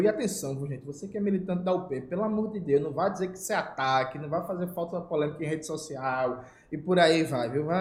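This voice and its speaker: With audible room echo, a man speaks high-pitched at a fairly quick pace, his loudness swinging widely and hardly any pauses between words. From Brazil, Recife (Pernambuco). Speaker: political YouTuber. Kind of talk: casual political commentary.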